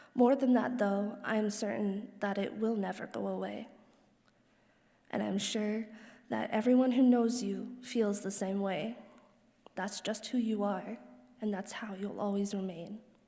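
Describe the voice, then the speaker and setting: A quiet woman at medium pitch, dark and mellow in tone, fairly slow with long, frequent pauses and fairly even intonation, audible room echo. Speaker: daughter of the deceased giving eulogy. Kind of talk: reading aloud a personal letter at a funeral. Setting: funeral service hall.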